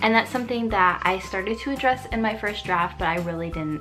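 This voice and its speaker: Music plays in the background as the speech runs at a fairly quick pace with ordinary pitch variation. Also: woman. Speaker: writer. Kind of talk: casual talk to camera. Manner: some stuttering.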